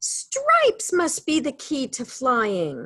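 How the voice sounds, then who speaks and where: Delivered at a very slow pace, the voice is a put-on character voice. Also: woman. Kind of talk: children's storytime reading. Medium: read story.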